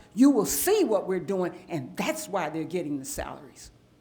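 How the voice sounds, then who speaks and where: A woman's pitch swings very widely, with audible room echo around her words. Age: 70s. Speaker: council member. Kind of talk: public meeting debate. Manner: animated.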